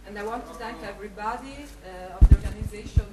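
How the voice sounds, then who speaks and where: Noticeable background noise and audible room echo accompany a woman speaking at a fairly high pitch. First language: not English. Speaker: local conference organiser. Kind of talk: thank-you speech. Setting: conference hall with audience. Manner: halting.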